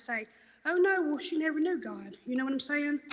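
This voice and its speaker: A woman with a Southern US accent projects a raised voice at a very fast pace, her high pitch showing ordinary variation. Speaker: recovery testimony speaker. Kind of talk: testimony. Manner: loud; animated storytelling.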